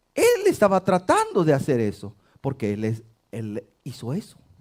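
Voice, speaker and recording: A man's voice swings very widely in pitch as he talks at a fairly slow pace. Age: 60s. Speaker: pastor. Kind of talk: sermon.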